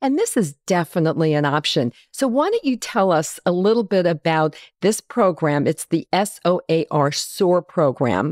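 In a very clean recording with a silent background, a woman speaks in an ordinary speaking voice at a fairly low pitch, moving at a fairly slow pace with hardly any pauses, lively intonation, very even loudness, and a dry, close sound with no echo. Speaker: podcast host. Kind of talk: podcast interview. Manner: friendly, upbeat.

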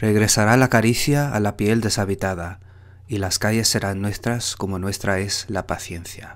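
Fairly low in pitch, a man with an unremarkable speaking voice talks at a fairly slow pace with fairly even intonation in a very clean recording with a silent background. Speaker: poetry reader, Spanish instructor. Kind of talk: poetry reading, reading aloud.

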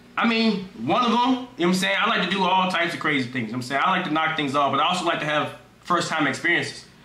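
Lively in intonation and very fast, a man with a high pitch speaks amid audible room echo. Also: very even loudness. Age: 20s. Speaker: streamer. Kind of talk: casual chat. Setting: video call. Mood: playful, joking. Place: home room. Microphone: headset.

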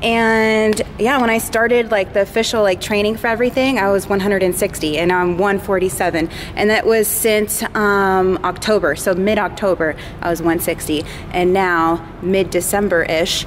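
Light background noise behind a woman's fairly slow delivery. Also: ordinary pitch variation. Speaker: fitness vlogger. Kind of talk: casual vlog chat. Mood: upbeat, pleased. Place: gym. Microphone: phone near.

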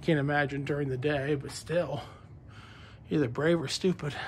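Light background noise accompanies a man whose somewhat breathy voice holds a fairly even intonation. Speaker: vlogger. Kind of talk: casual vlog chat. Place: street. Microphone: phone near.

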